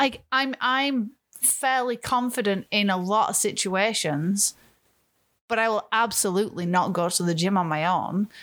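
At a moderate pace, a woman with a normal speaking voice keeps her loudness very even in a very clean recording with a silent background. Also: medium pitch for a woman, ordinary pitch variation. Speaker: podcast host. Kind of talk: casual banter.

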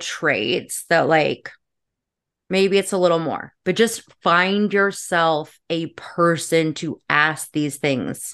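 A woman speaks at a fairly low pitch with fairly even intonation against a quiet background. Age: 30s. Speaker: social media creator. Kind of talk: casual chat.

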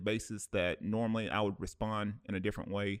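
Recorded very cleanly against a silent background, this man's voice sits fairly low in pitch. He has an American accent, and the sound is dry and close with no echo. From US Midwest (Cleveland). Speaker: podcast host. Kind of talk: casual chat. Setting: studio. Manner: halting.

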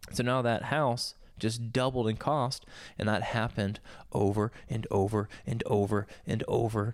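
On a very clean recording with a silent background, a man with an American accent speaks in a plain, everyday voice at medium pitch, with fairly even intonation and very even loudness. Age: 30s. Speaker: podcast co-host. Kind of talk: casual chat. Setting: home studio.

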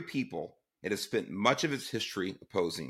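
With an American accent, a man speaks in a bright, sharp tone and very wide pitch swings. The recording is very clean, with a silent background. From Southeast Los Angeles, US. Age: 60s. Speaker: podcast host, former police chief. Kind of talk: political commentary monologue.

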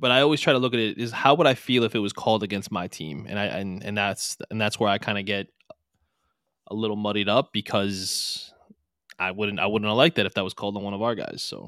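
Talking at a very fast pace, a man with a fairly low pitch sounds animated, with ordinary pitch variation. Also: very clean recording, silent background. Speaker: podcast co-host. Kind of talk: casual sports podcast chat. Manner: animated, joking.

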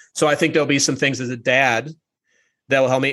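At a very fast pace, a man with a bright, sharp tone and medium pitch speaks with fairly even intonation. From Minnesota, Twin Cities. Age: 40s. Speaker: podcast host and coach. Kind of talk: casual interview chat. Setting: video call.

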